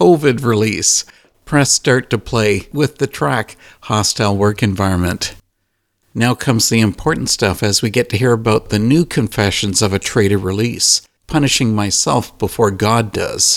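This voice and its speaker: The sound is dry and close with no echo, on a very clean recording with a silent background. Loudness stays very even, pitch varies in an ordinary way, and the pace is moderate. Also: man, medium pitch for a man. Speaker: radio host. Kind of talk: interview.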